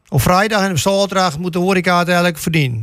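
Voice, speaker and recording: High-pitched for a man, this male voice races along at a very fast pace. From Urk, Netherlands. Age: 50s. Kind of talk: panel discussion.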